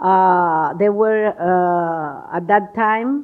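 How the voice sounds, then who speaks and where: A woman speaks in a Cuban accent at a medium pitch. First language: Spanish. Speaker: ambassador. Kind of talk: speech. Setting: stage with audience. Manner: halting.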